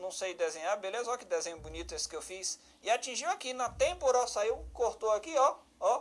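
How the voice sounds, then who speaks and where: In a northeastern Brazilian accent, a man speaks at an extremely high pitch. His tone is animated and his pace very fast. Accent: northeastern Brazilian, southern Paraíba. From Brazil, Federal District (Ceilândia). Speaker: law teacher for police exams, judge. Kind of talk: online lecture. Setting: live-streamed class. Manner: animated, conversational.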